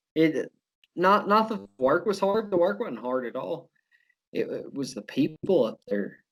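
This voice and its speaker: A man with a strong southern Oklahoma accent speaks at a fairly slow pace and a high pitch. His pitch swings very widely. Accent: heavy southern Oklahoma. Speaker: law student and former oil field worker. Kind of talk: casual chat.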